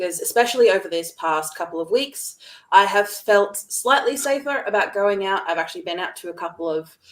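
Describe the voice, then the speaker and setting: Her pace fairly quick, a woman talks at a medium pitch with lively intonation. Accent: Australian. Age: young. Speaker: entrepreneur, video coach. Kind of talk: webinar conversation.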